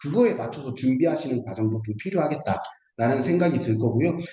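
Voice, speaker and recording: With audible room echo, a man speaks at a fairly quick pace, his pitch swinging very widely. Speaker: startup funding consultant. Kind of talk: online seminar lecture. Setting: video call. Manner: halting, many fillers.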